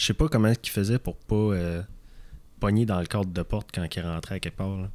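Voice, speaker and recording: Spoken in a Quebec accent at a moderate pace, the fairly even intonation comes through on a very clean recording against a silent background. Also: man. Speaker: fundraiser for men's health campaign. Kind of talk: casual chat. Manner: hesitant, repeats words.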